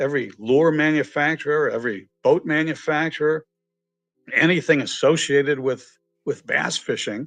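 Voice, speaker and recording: A man with a slight Boston accent, fairly high pitch and moderate pace, music in the background. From Massachusetts, near Boston. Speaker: entrepreneur and author. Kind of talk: podcast interview. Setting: live stream video podcast. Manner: animated.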